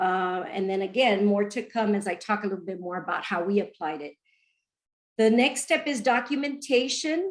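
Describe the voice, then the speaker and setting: With a normal speaking voice and medium pitch, a woman talks at a moderate pace with lively intonation. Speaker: education researcher presenting. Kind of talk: webinar presentation.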